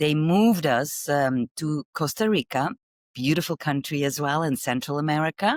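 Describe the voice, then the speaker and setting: Over a silent background in a very clean recording, a woman with a Flemish accent speaks at a moderate pace, her very deep, low pitch showing ordinary variation, the sound dry and close with no echo. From Belgium. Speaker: marketing executive. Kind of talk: interview. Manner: halting.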